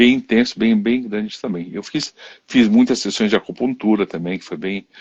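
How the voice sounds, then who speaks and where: Fairly low-pitched, a man speaks with ordinary pitch variation. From Haiti. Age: 60s. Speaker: therapist, live stream host. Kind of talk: interview chat on live stream. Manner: halting, many restarts.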